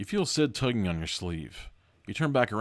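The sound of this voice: Simply an unforced reading voice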